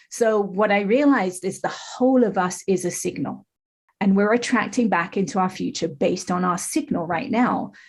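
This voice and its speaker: With a slight English accent, a woman speaks at a moderate pace and medium pitch, her voice somewhat breathy and her pitch varying in an ordinary way. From England. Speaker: life coach. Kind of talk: podcast interview.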